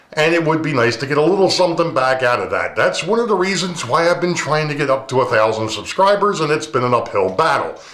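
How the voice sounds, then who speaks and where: With audible room echo around him, a man speaks with lively intonation. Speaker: model railroading YouTuber. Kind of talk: casual vlog talk to camera. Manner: relaxed, many fillers.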